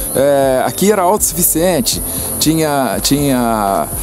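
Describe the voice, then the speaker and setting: A man talks fairly slowly, his pitch swinging very widely, with noticeable noise in the background. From Brazil, Petrópolis (Rio de Janeiro state). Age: 70s. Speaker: heir of a historic house, garden guide. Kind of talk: interview, guided tour. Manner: halting, many fillers and repetitions.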